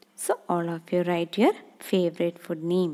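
A woman's dark, mellow voice comes across with a dry, close sound and no echo. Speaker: kindergarten teacher. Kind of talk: online class lesson for young children.

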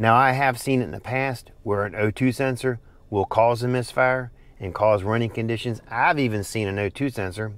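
This man talks at a moderate pace with fairly even intonation, and the sound is dry with no echo. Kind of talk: tutorial. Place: car. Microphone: phone near.

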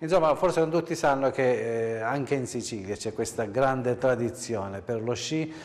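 This is an ordinary speaking voice from a man at a medium pitch, talking at a moderate pace. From Sicily, Adrano area. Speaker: TV host. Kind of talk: TV interview.

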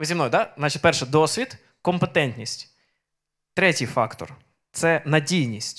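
A man with a fairly high voice and lively intonation speaks at a fairly slow pace with long, frequent pauses over a quiet background. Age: 30s. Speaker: preacher. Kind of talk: sermon. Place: church. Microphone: handheld.

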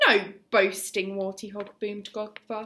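Reading aloud in an unforced voice

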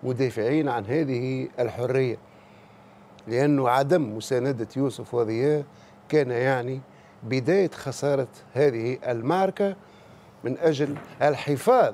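Speaking in a Tunisian accent, a man with a dark, mellow tone talks very slowly, leaving long, frequent pauses. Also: ordinary pitch variation. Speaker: political commentator. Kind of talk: TV talk show commentary. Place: studio. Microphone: lapel.

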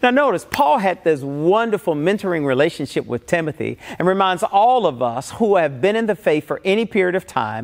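Quiet background behind a man at a moderate pace. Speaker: pastor. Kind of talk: sermon. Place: church. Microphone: lapel.

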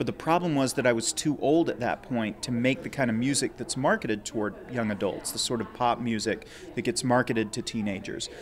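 A man talks with hardly any pauses. Light background noise can be heard. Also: ordinary pitch variation, fairly quick pace. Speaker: young adult novelist. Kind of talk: interview. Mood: thoughtful, friendly. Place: office. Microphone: handheld.

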